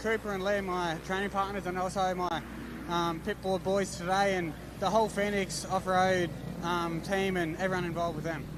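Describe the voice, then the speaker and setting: A man with an Australian accent talks at a fairly quick pace in a high pitch and a flat, monotone delivery, with noticeable background noise and audible room echo. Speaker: motocross racer. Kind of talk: post-race interview. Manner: halting.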